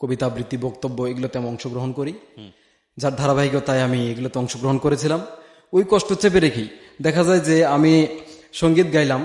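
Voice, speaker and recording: With ordinary pitch variation, this man has a fairly high pitch and an unremarkable speaking voice. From Bangladesh, Tangail district. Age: 20s. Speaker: madrasa teacher/student sharing life story. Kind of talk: testimony.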